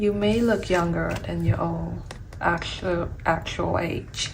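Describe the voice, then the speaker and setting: A woman speaks at a very slow pace. There is audible room echo and noticeable background noise. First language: Vietnamese. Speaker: tarot reader. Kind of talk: tarot reading.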